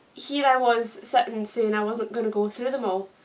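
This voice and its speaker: A woman talks in a high pitch at a moderate pace, with noticeable background noise behind her. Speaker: YouTuber. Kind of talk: casual vlog chat.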